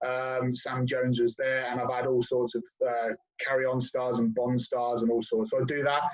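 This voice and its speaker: A man with a southern English accent talks at a moderate pace in a flat monotone. His loudness stays very even throughout. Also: medium pitch for a man. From southern England, Oxford. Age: 40s. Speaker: guest, hip hop fan and DJ. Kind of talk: casual chat.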